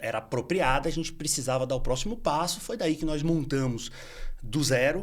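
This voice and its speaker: Ordinary pitch variation at a moderate pace. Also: man. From Bahia, Brazil. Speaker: entrepreneur in finance. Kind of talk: podcast interview. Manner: halting, many fillers.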